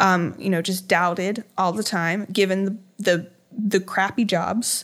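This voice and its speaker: Recorded very cleanly against a silent background, a woman speaks very slowly at medium pitch with fairly even intonation. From Virginia, US (Hampton Roads). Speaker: painter. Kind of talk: interview conversation.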